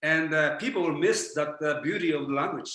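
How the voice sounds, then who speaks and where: A man with a Japanese accent talks at a very fast pace, his pitch fairly high and his tone bright and sharp. His pitch varies in an ordinary way, and the room echo is audible. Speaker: spiritual teacher. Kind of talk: lecture. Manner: halting.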